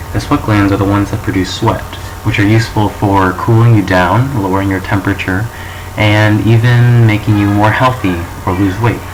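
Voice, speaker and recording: Over noticeable background noise and audible room echo, a man speaks in a flat monotone at a fairly low pitch. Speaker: student presenting a school project. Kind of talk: presentation of a topic, mock show. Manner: halting, with false starts.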